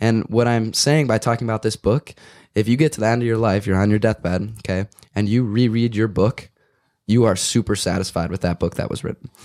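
Fairly quick and slightly mellow in tone, the voice shows ordinary pitch variation on a very clean recording with a silent background. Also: man, fairly low pitch for a man.

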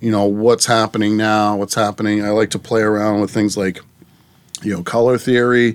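A man with an American accent speaks at a fairly low pitch in a monotone, flat intonation. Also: moderate pace. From Massachusetts, Plymouth area. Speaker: abstract artist. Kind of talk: interview. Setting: in-person recording.

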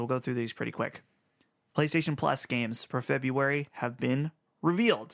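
Against a quiet background, a man with an unremarkable speaking voice talks fairly quickly at a medium pitch with ordinary pitch variation. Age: 20s. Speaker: video game podcast host. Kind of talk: casual chat.

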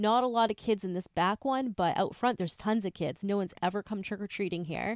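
A woman with a normal speaking voice, medium pitch and ordinary pitch variation talks with hardly any pauses in a very clean, dry, close recording with no echo and a silent background. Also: fairly quick pace. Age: 30s. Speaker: true crime podcast co-host. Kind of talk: reading aloud; casual chat.

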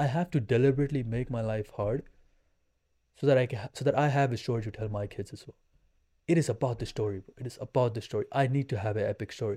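Talking very fast at a medium pitch, a man with a dark, mellow, somewhat breathy tone shows ordinary pitch variation and big swings in loudness. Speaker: fitness transformation coach. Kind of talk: casual interview chat. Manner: animated.

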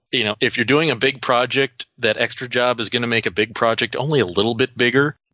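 In an ordinary speaking voice with an American accent, a man talks at a moderate pace and medium pitch, keeping his intonation fairly even. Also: hardly any pauses. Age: 40s. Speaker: museum archivist and automotive historian. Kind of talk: interview.

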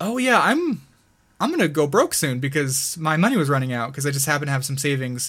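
On a very clean recording with a silent background, a man with a plain, everyday voice talks at a fairly quick pace and fairly high pitch, with ordinary pitch variation. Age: 20s. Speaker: gaming YouTuber. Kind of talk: casual chat.

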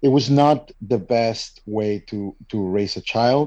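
A man speaks with a Spanish accent and a dark, mellow tone. His pitch variation is ordinary. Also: quiet background. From Mexico. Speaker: father starting a men's support group. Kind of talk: interview.

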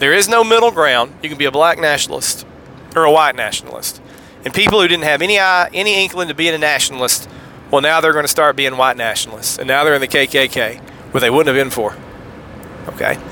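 In a Southern US accent, a man talks at a very fast pace. His pitch is fairly high and his intonation lively. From US South, Tennessee. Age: 40s. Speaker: podcast host. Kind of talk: solo podcast monologue on theology. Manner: usually excitable, holding back.

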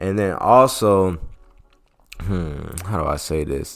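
A man speaks with a very deep, low pitch and ordinary pitch variation. Music plays in the background. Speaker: motivational podcast host. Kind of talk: casual motivational monologue. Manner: animated, talking from the heart.

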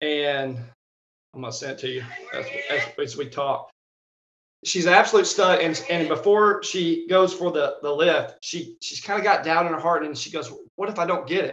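With a Southern US accent, a man speaks at a moderate pace in a high voice. His loudness swings widely. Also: ordinary pitch variation. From Arkansas, US South. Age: 30s. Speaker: strength coach. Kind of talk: casual interview chat.

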